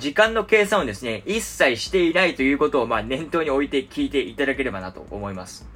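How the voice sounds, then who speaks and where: A man's fairly high voice at a very fast pace, with very wide pitch swings, big swings in loudness and vocal fry. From Japan. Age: 20s. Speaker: podcast host. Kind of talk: casual monologue. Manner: many filler words.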